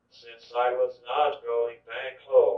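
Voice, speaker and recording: A man speaks at a very slow pace. He has an American accent. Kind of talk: autobiographical testimony, read from written speech.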